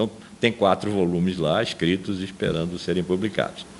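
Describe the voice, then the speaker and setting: This man talks at a moderate pace with a very deep, low pitch and fairly even intonation. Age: 70s. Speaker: philosophy professor. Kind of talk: testimony interview. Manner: halting with repetitions.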